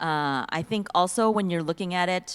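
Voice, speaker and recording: A woman with an American accent, an unremarkable speaking voice, medium pitch and a moderate pace. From US, Silicon Valley, California. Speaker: panelist. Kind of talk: panel discussion.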